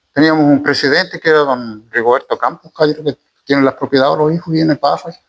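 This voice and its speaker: A man with a Chilean accent, fairly high in pitch, at a fairly quick pace with fairly even intonation. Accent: rural Chilean Spanish. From Chile, rural. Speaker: former community leader, farmer. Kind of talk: interview, oral history. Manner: halting, many repetitions.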